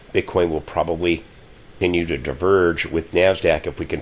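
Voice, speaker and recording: Beneath noticeable background noise, a man's very deep, low voice moves at a moderate pace. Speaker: crypto market analyst. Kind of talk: market analysis commentary. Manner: halting, with fillers.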